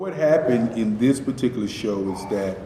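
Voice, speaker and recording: A man with an American accent, medium pitch and ordinary pitch variation, plus audible room echo and noticeable background noise. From US South, Durham, North Carolina. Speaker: artist. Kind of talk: interview. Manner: halting.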